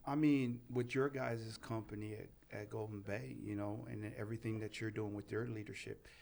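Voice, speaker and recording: Speaking at a moderate pace with hardly any pauses, a man holds a medium pitch while his loudness swings widely. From Southern California, Pomona; born in Tonga. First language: Tongan. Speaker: life coach and motivational speaker. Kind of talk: casual chat. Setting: studio. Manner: animated.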